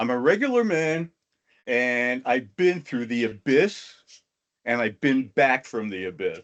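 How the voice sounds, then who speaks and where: A man speaks at medium pitch with an American accent. His pace is very slow. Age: 60s. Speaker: motivational speaker. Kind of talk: talk to an online audience.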